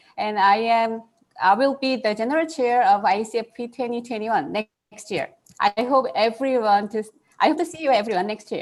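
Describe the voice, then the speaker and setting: A woman in a Korean accent speaks at a fairly high pitch. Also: ordinary pitch variation, moderate pace. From South Korea, Seoul. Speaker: computer science researcher. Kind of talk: panel discussion.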